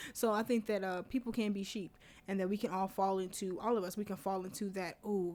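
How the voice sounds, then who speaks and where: With fairly even intonation, a woman speaks in a plain, everyday voice. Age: 20s. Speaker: podcast host. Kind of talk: solo podcast monologue. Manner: casual, conversational.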